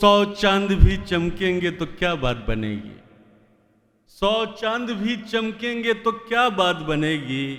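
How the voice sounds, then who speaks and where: This is a man speaking. His pitch is high, with ordinary variation. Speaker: mushaira host. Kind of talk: stage introduction of a poet.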